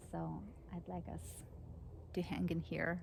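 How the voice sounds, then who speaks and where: At a fairly slow pace, a woman talks with a non-native accent. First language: not English. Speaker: psychologist and spiritual teacher. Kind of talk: personal vlog monologue. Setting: outdoors under an oak tree. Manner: halting.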